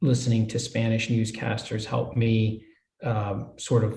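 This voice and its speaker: A man talks at a medium pitch, somewhat breathy. Audible echo fills the room. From US, Hialeah, Florida (Cuban-American). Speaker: judge. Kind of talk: interview.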